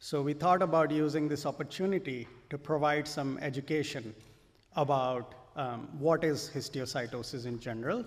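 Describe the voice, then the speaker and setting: A man's ordinary speaking voice, fairly high in pitch, with big swings in loudness. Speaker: physician. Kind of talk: lecture.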